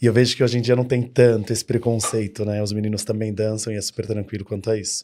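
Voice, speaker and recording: Very fast and fairly low, a man talks with a dark, mellow tone. The recording is very clean, with a silent background. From São Paulo, Brazil. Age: 30s. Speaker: dance studio owner. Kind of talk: podcast interview. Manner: animated.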